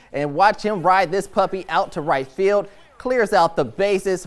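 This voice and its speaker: There is noticeable background noise behind this male speaker. His tone is upbeat and playful. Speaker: sports anchor. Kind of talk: sports highlights commentary. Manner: upbeat, playful.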